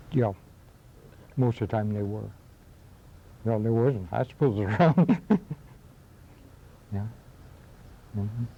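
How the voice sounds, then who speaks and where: Speaking with a western New York accent, a man has a somewhat breathy, dark and mellow tone at medium pitch with ordinary pitch variation. His delivery is fairly slow, with long, frequent pauses. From western New York, Akron area. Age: old. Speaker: local history interviewee. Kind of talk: oral history interview. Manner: halting.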